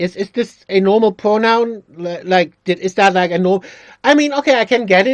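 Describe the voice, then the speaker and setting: In a dry, close sound with no echo, a man with a non-native accent speaks at a moderate pace with a high pitch and ordinary pitch variation. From not Britain. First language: not English. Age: 40s. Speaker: YouTuber playing a game. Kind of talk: let's play commentary. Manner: halting, many fillers and restarts.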